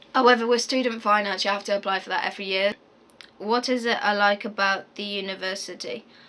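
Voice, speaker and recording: With a West Midlands accent, a woman talks at a fairly quick pace in a monotone, flat intonation. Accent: Coventry English. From English Midlands, Coventry area. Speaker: university student vlogger. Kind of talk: casual Q&A vlog. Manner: fast; hesitant, many fillers.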